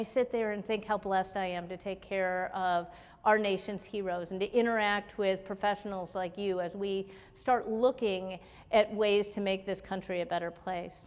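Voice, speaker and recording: A woman with an American accent has a normal speaking voice at medium pitch, with fairly even intonation. She talks at a moderate pace on a very clean recording with a silent background. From US Midwest, Chicago area. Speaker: military officer and physician. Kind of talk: keynote speech.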